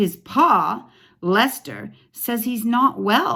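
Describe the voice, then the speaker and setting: Using a put-on character voice, a woman speaks at a very slow pace in a fairly high pitch. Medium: read story. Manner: gossipy, teasing.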